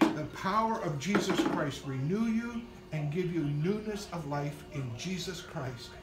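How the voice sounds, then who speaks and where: A man talking at a fairly slow pace over loud background noise. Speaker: minister. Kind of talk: prayer and scripture reading. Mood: fervent, tender.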